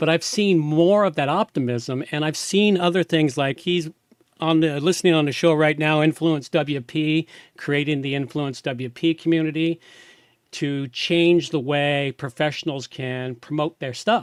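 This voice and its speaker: In a very clean recording with a silent background and a dry, close sound with no echo, a man with a fairly high pitch and ordinary pitch variation talks in an unremarkable speaking voice. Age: 60s. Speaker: podcast host. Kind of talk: interview. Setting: live video stream.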